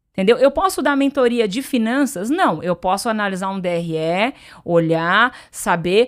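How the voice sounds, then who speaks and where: This woman has a fairly high pitch and an animated tone. Her intonation is lively, and the recording is very clean with a silent background. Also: moderate pace. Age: 40s. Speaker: entrepreneur and business mentor. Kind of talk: podcast interview.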